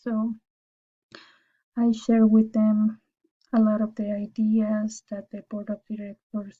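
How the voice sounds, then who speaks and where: In a Spanish accent, a woman speaks very slowly with long, frequent pauses and a monotone, flat intonation. Her fairly high voice is somewhat breathy, with a dark, mellow tone. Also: big swings in loudness, dry, close sound with no echo. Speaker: university student. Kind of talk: class presentation. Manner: formal.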